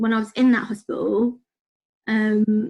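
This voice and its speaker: With a British accent, a woman talks at a fairly slow pace in a fairly high, somewhat breathy voice with fairly even intonation. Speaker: podcast guest with autoimmune disease. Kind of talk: casual chat.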